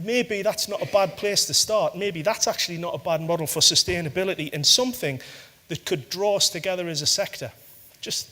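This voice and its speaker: A man's raised, projected voice, high pitched, in a northeast English accent. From northeast England. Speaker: corporate sustainability head. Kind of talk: conference talk. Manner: halting, many fillers.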